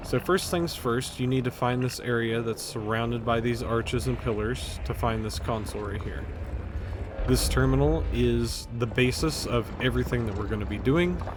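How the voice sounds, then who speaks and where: A quiet man at a moderate pace, with noticeable background noise and audible room echo. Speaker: video game tutorial creator. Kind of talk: tutorial. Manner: speaking up loudly.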